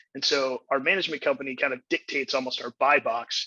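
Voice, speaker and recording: A man with an American accent and a fairly high pitch speaks very fast in a bright, sharp tone, with fairly even intonation and a dry, close sound with no echo. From Texas. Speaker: real estate investor; navy helicopter pilot. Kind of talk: podcast interview answer.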